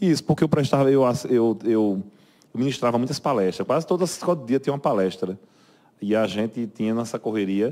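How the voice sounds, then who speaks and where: A man speaks at a fairly quick pace and a medium pitch, with lively intonation and a dark, mellow tone. The recording is very clean, with a silent background. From Brazil, Paraíba (João Pessoa). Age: 40s. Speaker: military police captain. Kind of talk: interview. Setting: studio. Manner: halting, many repetitions and fillers.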